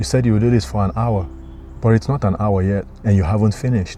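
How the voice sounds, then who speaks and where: A man with a non-native accent speaks at a very fast pace in a fairly low pitch. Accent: noticeable foreign. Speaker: motivational vlogger. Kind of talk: motivational talk.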